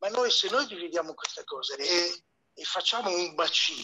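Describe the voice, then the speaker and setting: Moderately paced male speech, dry and close-sounding with no echo. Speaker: bio-architect. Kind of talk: audience comment. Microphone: heard through moderator's phone.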